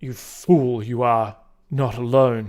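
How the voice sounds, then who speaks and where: Here a man performs a put-on character voice. His pitch is medium. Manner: commanding, scolding.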